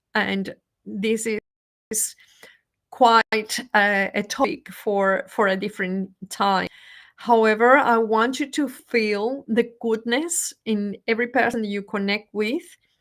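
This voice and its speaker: A woman with a Spanish accent speaks at a very slow pace. Her pitch is fairly high. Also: ordinary pitch variation, very clean recording, silent background. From Venezuela. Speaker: motivational speaker. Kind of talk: live stream talk. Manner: halting.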